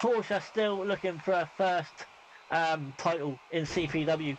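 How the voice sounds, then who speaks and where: The man's pitch is high. His intonation stays fairly even. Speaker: video game wrestling streamer and commentator. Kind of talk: live commentary.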